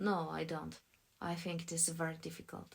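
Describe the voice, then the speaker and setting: The woman's voice is somewhat breathy. She takes a fairly slow pace. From Poland. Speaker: voice actor. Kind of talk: audiobook dialogue narration. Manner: clear pronunciation.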